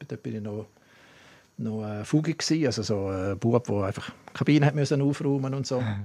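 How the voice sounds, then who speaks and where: A man with a dark, mellow tone talks at a moderate pace, his pitch swinging very widely. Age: 60s. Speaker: former sports event director. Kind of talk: casual interview. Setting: studio.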